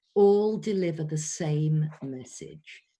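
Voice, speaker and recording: Very slowly, a woman speaks in a somewhat breathy voice with a dark, mellow tone. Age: 60s. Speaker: voice coach. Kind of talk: online workshop. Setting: video call.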